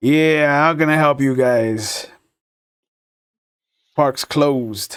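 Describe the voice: Putting on a gravelly character voice, a man speaks very slowly at a fairly high pitch with fairly even intonation.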